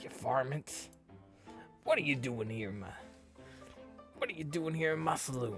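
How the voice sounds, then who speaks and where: A man's put-on character voice in a western US accent, medium in pitch with ordinary pitch variation, at a moderate pace with long, frequent pauses, over clear music in the background. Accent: western cowboy. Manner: gruff, trying to stay in character.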